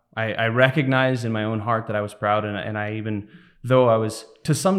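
At a moderate pace, a man talks with a medium pitch in an ordinary speaking voice. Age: 30s. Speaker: church deacon. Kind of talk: interview testimony. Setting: studio.

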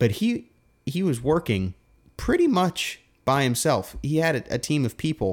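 At a moderate pace, a man speaks in a fairly high voice whose pitch swings very widely. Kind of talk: casual theological chat. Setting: home recording, handheld mic. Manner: soft-spoken.

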